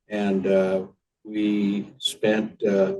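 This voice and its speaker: A man's fairly low voice with a dark, mellow tone. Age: 80s+. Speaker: retired library foundation founder. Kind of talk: interview. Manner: halting, many fillers.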